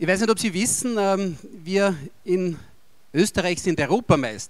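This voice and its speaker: This is a man with an Austrian accent. The background is quiet. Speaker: politician. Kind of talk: official speech. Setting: stage with audience. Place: hall. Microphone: handheld.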